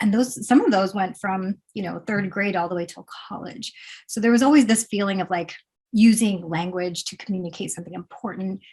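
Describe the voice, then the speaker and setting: In an American accent, the somewhat breathy voice moves at a fairly quick pace with big swings in loudness. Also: woman, medium pitch for a woman, ordinary pitch variation. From Pennsylvania, US. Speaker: poet. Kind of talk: interview.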